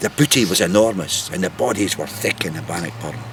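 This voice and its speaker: Noticeable background noise runs under a man talking at a moderate pace, his pitch varying in an ordinary way. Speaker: storyteller. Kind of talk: historical storytelling.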